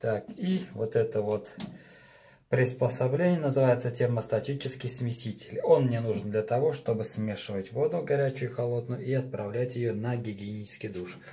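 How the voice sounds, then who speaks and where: Ordinary pitch variation and a moderate pace in a man's voice. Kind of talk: tutorial. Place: bathroom. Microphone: phone near.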